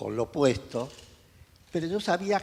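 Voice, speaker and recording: Vocal fry marks this man's voice. Very wide swings run through his pitch. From North Africa, Mediterranean coast. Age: 80s+. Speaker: photojournalist. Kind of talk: interview, life story.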